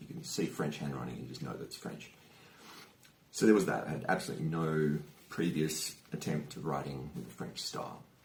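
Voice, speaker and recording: A man with a very deep, low voice and an Australian accent speaks at a fairly quick pace with ordinary pitch variation. His loudness swings widely, and audible room echo fills the recording. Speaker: youtuber. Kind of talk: personal vlog storytelling. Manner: casual, hesitant with fillers.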